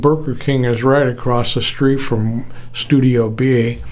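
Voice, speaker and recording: At a very slow pace, a man talks in a flat monotone at a medium pitch. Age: 70s. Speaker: retired audio engineer. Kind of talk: casual personal talk to camera.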